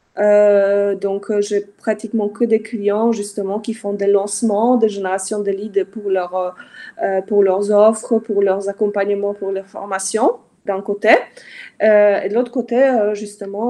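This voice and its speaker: A woman with a non-native accent speaks at a very slow pace in a dark, mellow tone, her intonation monotone and flat. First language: not French (speaking French). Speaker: Facebook ads consultant. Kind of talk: live interview. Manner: halting, many fillers.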